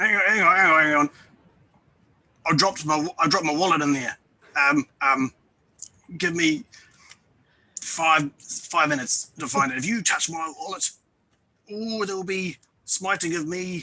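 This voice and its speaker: A gruff, put-on character voice at a fairly slow pace, with long, frequent pauses. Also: man, high pitch for a man. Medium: actual play. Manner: bluffing, overeager.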